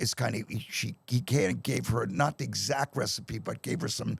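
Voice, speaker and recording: This man's voice sits at medium pitch, with vocal fry and ordinary pitch variation. The sound is dry and close, with no echo. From Pennsylvania, Bucks County. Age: 60s. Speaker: rock drummer. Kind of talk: casual chat. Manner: animated.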